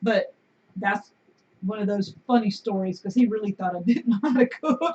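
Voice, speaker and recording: A woman's somewhat breathy voice, fairly high in pitch. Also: ordinary pitch variation, moderate pace. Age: 50s. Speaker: homesteader and video host. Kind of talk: casual live-stream chat. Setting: live stream on camera at home.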